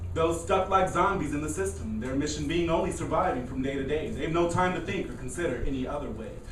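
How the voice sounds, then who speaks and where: Noticeable background noise is present throughout. The delivery is fairly quick. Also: man. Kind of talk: poetry reading at open mic. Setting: coffee house open mic with live audience.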